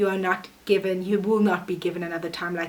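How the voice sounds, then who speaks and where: With noticeable background noise behind her, a woman talks at a very fast pace in a medium pitch and an animated tone. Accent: non-native. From South Africa. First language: not English. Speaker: vlogger. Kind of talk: casual motivational vlog. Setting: alone in her room.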